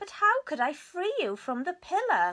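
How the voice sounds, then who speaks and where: This woman puts on a character voice pitched extremely high. Her pace stays moderate. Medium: read story.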